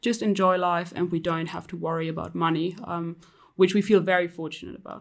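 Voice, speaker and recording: In a very clean recording with a silent background, a woman talks in a flat monotone at a fairly low pitch. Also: fairly quick pace. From Europe. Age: 30s. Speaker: personal finance blogger. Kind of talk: interview.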